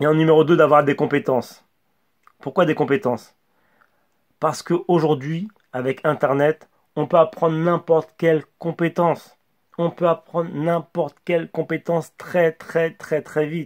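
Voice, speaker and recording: A mumbling man at a fairly high pitch, at a fairly slow pace, with fairly even intonation and big swings in loudness, in a dry, close sound with no echo and a very clean recording with a silent background. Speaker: communication coach YouTuber. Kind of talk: motivational monologue to camera. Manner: mumbles words, imprecise articulation; stumbles and stammers.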